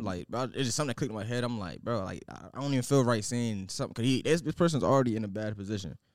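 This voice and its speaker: A man rushes along at a very fast pace, with hardly any pauses. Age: 20s. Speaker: podcast co-host. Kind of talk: casual chat.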